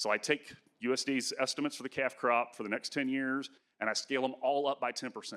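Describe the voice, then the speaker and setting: In a dry, close sound with no echo, a man talks at a very fast pace with a bright, sharp tone, a medium pitch and monotone, flat intonation. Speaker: agricultural economics professor. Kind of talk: conference presentation.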